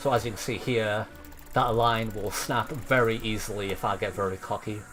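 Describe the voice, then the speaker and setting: In an ordinary speaking voice, a man talks at a moderate pace with a medium pitch and fairly even intonation. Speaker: game modder and streamer. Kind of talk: live gameplay commentary.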